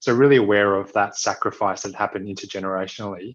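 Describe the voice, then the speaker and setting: The man has an Australian accent and a fairly low pitch, heard over a quiet background. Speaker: social entrepreneur and physiotherapist. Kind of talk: interview conversation. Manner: hesitant, many fillers.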